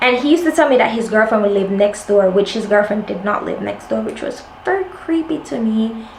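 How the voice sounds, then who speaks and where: A woman speaks at a fairly quick pace with lively intonation and hardly any pauses, over noticeable background noise. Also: fairly high pitch for a woman. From Jamaica. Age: 20s. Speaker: lifestyle vlogger. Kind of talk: casual chat. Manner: animated.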